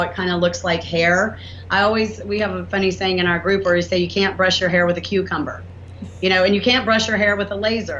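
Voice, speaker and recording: A woman with a Southern US accent speaks at a fairly quick pace, with audible room echo. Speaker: inventor and entrepreneur. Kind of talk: interview. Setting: podcast. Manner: animated.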